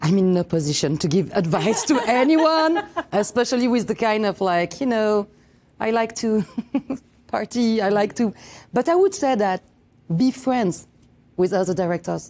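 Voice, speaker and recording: Using a French accent, a woman at a fairly high pitch keeps very even loudness and lively intonation, pausing long and often. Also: moderate pace. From France. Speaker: film director. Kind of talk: interview. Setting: film festival interview.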